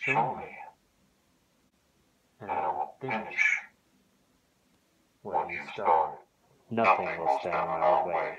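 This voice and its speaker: Doing a put-on character voice, a man speaks raspily at medium pitch and a very slow pace, with big swings in loudness and long, frequent pauses. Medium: role play.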